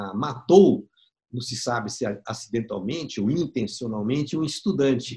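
Slowish and somewhat breathy, a man's voice moves through very wide pitch swings. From Brazil, São Paulo. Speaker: documentary filmmaker. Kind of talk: interview storytelling.

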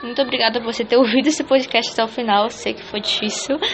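Her pitch rises and falls in a normal way. Behind the woman, clear noise is heard. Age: 20s. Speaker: columnist and podcaster. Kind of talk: solo monologue podcast. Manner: casual, conversational.

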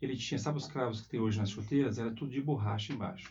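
There is audible room echo as a man talks at a medium pitch in a somewhat breathy voice with fairly even intonation. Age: 40s. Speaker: school principal. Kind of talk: interview. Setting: school.

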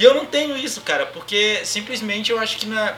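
A man's raised, projected voice, high for a man, at a fairly quick pace, with audible room echo and noticeable background noise. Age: 20s. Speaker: podcast host, DJ and music production student. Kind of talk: casual chat.

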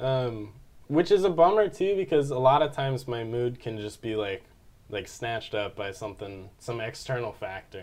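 With an American accent, a man speaks at a medium pitch with lively intonation and big swings in loudness. He has a normal speaking voice. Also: moderate pace. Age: 20s. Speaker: college student and musician. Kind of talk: casual chat.

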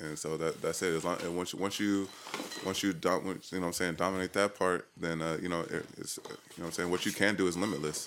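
Speaking very fast in a monotone, flat delivery, a man with an American accent has a very deep, low pitch. Noticeable background noise is present. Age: 30s. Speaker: hip hop artist. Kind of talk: casual chat. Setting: studio.

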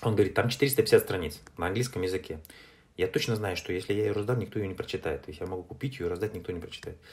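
A man with a fairly low pitch rushes along at a very fast pace, with ordinary pitch variation and a somewhat breathy voice. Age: 40s. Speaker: entrepreneur and publisher. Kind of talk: interview. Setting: remote call.

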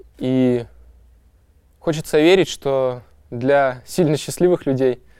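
The man speaks at a medium pitch. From Kazakhstan, industrial city. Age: young. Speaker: poet. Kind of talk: interview monologue.

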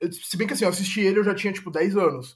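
A man is speaking. His pitch is high. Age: 20s. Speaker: advertising professional. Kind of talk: casual chat. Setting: video call.

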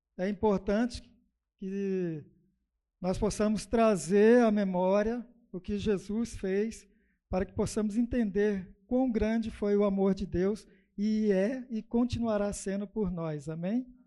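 Against a quiet background, a man with a dark, mellow tone speaks very slowly in a high pitch, his intonation fairly even. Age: 50s. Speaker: lay preacher. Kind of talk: sermon. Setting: church.

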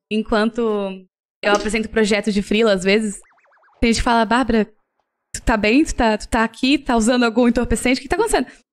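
A woman with a fairly high voice talks at a fairly quick pace with fairly even intonation, taking long, frequent pauses. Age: 20s. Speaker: designer and illustrator. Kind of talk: casual interview.

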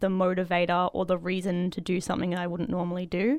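Someone with an Australian accent speaks at a very fast pace in a very clean recording with a silent background. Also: woman. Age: 20s. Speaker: cosplayer. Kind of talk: casual chat.

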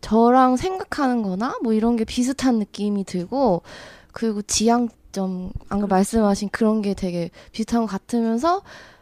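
Her voice fairly high with ordinary pitch variation, a woman talks in a plain, everyday voice at a fairly slow pace, the sound dry and close with no echo. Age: 30s. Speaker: counseling program guest. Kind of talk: casual conversation.

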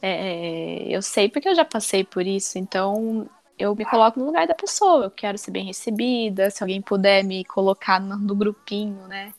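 A woman with a plain, everyday voice, medium pitch, ordinary pitch variation and a moderate pace, in a dry, close recording with no echo. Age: 20s. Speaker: gym member. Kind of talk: casual chat.

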